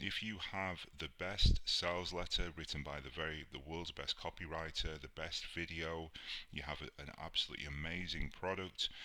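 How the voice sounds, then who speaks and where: This man has a British accent and a very deep, low pitch with a bright, sharp tone. He speaks at a moderate pace with fairly even intonation. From UK. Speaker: online marketing instructor. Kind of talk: tutorial.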